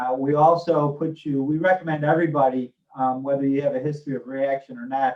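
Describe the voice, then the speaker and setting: A man speaks at a fairly quick pace, with a fairly high pitch. His intonation stays fairly even. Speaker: hospital physician and medical executive. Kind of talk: Q&A session on health. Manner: mumbling.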